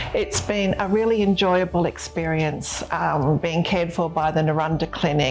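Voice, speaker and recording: Over music in the background, a speaker with an Australian accent talks at a moderate pace with hardly any pauses, very even loudness and ordinary pitch variation. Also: woman, fairly low pitch for a woman. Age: 60s. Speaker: patient giving a clinic testimonial. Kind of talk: testimony. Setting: abroad at the clinic after surgery.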